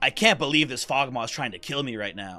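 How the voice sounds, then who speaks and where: Putting on a dramatic character voice, a man speaks at a medium pitch and fairly quick pace over faint background music. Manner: dramatic, exaggerated anime delivery.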